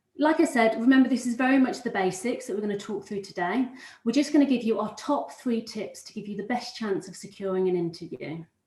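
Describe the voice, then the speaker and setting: A woman's very fast, somewhat breathy, fairly high voice with lively intonation, big swings in loudness and a slight Brummie accent. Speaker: recruitment consultant. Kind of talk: webinar presentation. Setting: live webinar.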